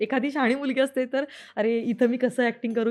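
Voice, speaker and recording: Music plays in the background. Over it, a woman speaks at a high pitch. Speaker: actress. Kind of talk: interview answer.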